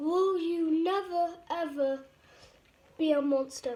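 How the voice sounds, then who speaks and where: A woman's put-on character voice at an extremely high pitch and a fairly slow pace. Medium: read story.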